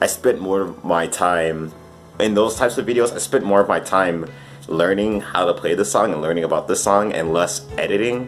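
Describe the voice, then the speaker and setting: Over music in the background, a man with a fairly low pitch speaks at a moderate pace with ordinary pitch variation. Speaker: YouTube piano musician. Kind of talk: casual vlog monologue. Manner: hesitant, filler-heavy.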